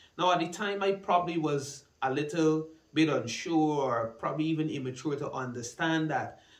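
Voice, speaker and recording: Audible room echo surrounds a man's fairly high voice at a moderate pace. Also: ordinary pitch variation, hardly any pauses. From Guyana. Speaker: church minister and student. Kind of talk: personal testimony. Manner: hesitant with fillers. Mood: calm, earnest, reflective. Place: studio.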